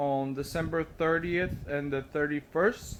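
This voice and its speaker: A man speaks with a non-native accent. His pitch is fairly high, with ordinary pitch variation. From Brazil. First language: Portuguese. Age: 30s. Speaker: vlogger. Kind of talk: casual vlog monologue. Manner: halting, many fillers.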